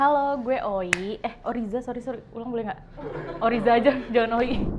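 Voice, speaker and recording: With noticeable background noise and audible room echo, a woman speaks at a fairly quick pace in a high pitch, with ordinary pitch variation and big swings in loudness. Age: 20s. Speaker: marketing communications worker. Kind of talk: casual interview.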